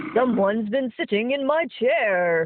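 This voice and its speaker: In a growling put-on character voice, the speaker keeps a fairly high pitch and a moderate pace. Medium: read story.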